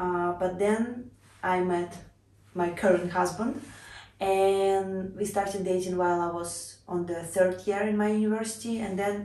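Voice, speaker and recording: A woman's medium-pitched voice in a Russian accent, with a dark, mellow tone and monotone, flat intonation, at a moderate pace amid audible room echo. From Russia (Cheboksary). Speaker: vlogger. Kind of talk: casual personal introduction vlog.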